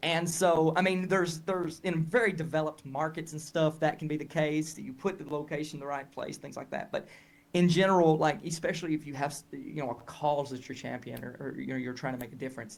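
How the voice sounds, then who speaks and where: A man talks in a Southern US accent at a fairly high pitch and fairly quick pace. His intonation is fairly even, with hardly any pauses. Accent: Southern US, noticeable. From Tennessee, US South. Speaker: health educator and marketing coach. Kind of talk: interview conversation. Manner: hesitant, many fillers and restarts.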